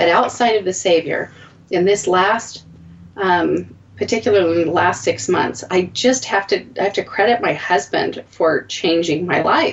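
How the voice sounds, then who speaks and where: A woman speaks with an unremarkable speaking voice at a moderate pace. Her pitch sits in the medium range with ordinary variation, and her loudness stays very even. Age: 40s. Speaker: podcast host. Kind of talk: casual chat.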